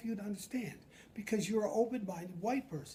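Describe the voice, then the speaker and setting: Speaking at a fairly quick pace with an animated tone, a man with an American accent has an extremely high pitch. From upstate New York. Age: 70s. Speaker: retired addiction counselor. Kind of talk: casual chat.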